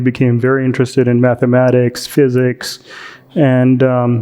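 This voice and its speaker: A man's medium-pitched voice, flat and monotone, with an American accent. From India, then US from age 14. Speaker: doctor. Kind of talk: interview. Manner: hesitant, many fillers.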